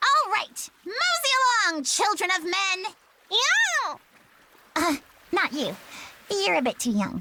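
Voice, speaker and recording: In a put-on character voice at an extremely high pitch, the speaker goes at a fairly slow pace with long, frequent pauses. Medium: video game. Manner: petulant, dramatic.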